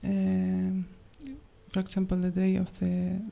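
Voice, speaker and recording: A woman talks with a non-native accent. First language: not English. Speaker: questioner at a spiritual gathering. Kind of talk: question to a teacher. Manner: halting.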